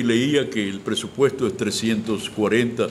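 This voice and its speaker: A man at a moderate pace with fairly even intonation, over noticeable background noise. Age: 70s. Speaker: retired cultural official and writer. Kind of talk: interview. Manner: halting, repeats words.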